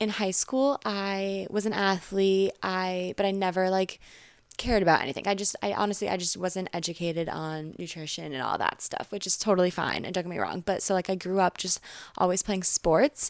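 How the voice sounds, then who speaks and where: A woman's plain, everyday voice in an American accent, medium in pitch, with fairly even intonation at a moderate pace, on a very clean recording with a silent background. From Connecticut, US. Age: 20s. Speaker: social media influencer. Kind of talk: casual chat.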